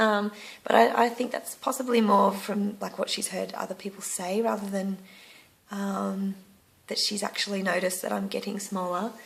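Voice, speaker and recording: Against noticeable background noise, a woman with an Australian accent speaks at medium pitch and a moderate pace, with fairly even intonation. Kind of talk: casual talk to camera. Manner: hesitant, frequent filler words.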